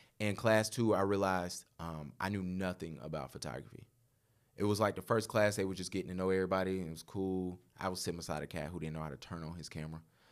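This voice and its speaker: A man talks at a very fast pace with a very deep, low pitch and ordinary pitch variation. The recording is very clean with a silent background. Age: 30s. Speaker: photographer. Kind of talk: casual chat.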